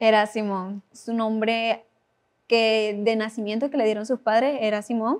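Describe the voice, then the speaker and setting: A woman with a fairly high pitch speaks at a fairly slow pace in a flat monotone. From Venezuela. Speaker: Bible study guest. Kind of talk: Bible study conversation.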